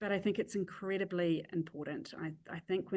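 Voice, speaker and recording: A woman with a New Zealand accent, vocal fry and fairly even intonation. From New Zealand (Christchurch). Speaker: chief executive and crisis leadership expert. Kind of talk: podcast interview.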